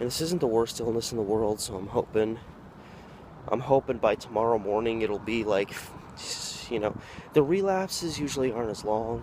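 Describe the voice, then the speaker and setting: This man has an American accent and a medium pitch, speaking at a fairly quick pace. Noticeable background noise runs underneath. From Oregon, USA. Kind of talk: casual vlog talk to camera.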